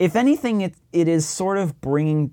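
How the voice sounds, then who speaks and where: With lively intonation and a dark, mellow tone, a man with an American accent speaks at a moderate pace. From Massachusetts, near Plymouth. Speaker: podcast host. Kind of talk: podcast monologue intro; casual interview chat. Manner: less energetic than usual.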